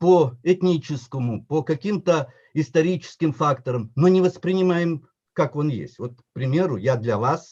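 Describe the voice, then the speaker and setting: With a Tatar accent, a man talks at a fairly slow pace in a fairly high pitch, his tone dark and mellow and his intonation lively. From Yakutia, Russia. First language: Tatar (speaking Russian). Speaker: professor, historian. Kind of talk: conference talk.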